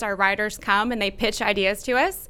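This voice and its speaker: A woman's bright, sharp voice in an American accent, fairly high in pitch with ordinary pitch variation, at a fairly quick pace. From North Texas (Dallas/Plano). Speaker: magazine editor. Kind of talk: casual interview. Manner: animated.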